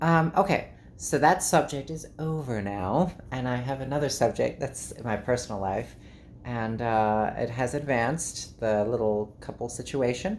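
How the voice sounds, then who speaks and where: Her voice very deep and low, a woman speaks at a moderate pace with lively intonation. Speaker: YouTuber, vlogger. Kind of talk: casual vlog monologue.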